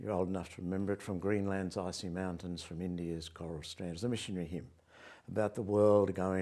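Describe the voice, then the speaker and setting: Fairly quick and fairly even in intonation, a man speaks with a very deep, low pitch and a dark, mellow tone. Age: 80s. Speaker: author and historian. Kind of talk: interview. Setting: chapel.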